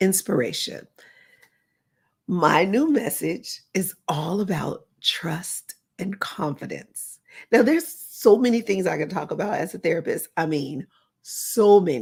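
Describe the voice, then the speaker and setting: A woman speaks fairly slowly at medium pitch, her voice somewhat breathy and her pitch swinging very widely. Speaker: motivational speaker and therapist. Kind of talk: motivational talk. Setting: recorded live, unedited.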